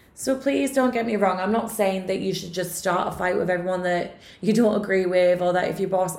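Against noticeable background noise, a woman talks at a fairly quick pace, her medium pitch kept fairly even. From UK. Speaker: podcast host and reader. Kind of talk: solo podcast monologue, casual. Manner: chatty, casual.

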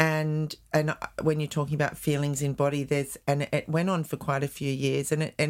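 A woman with an Australian accent speaks in a very deep, low pitch on a very clean recording with a silent background. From Australia, northern beaches of Sydney, NSW. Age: 60s. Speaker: cancer survivor sharing life story. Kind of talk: interview.

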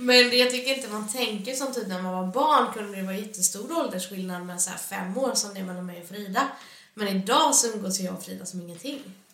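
A woman speaks at a fairly quick pace and a medium pitch with ordinary pitch variation and big swings in loudness, amid noticeable background noise and audible room echo. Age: 20s. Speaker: podcast co-host. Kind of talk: casual chat.

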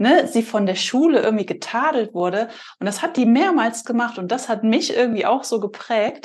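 Against a quiet background, a woman's fairly high voice sweeps through very wide pitch swings. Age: 30s. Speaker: podcast host. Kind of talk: casual chat.

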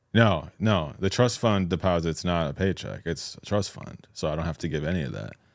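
A man's very deep, low voice with an American accent, fairly quick in pace, with ordinary pitch variation and big swings in loudness, on a very clean recording with a silent background. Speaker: podcast co-host.

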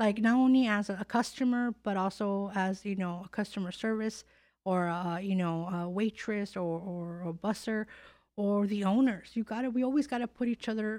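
An ordinary woman's voice, she has a plain, everyday voice at medium pitch, moving at a moderate pace with fairly even intonation on a very clean recording with a silent background. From California. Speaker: podcast host. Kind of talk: casual interview. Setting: studio.

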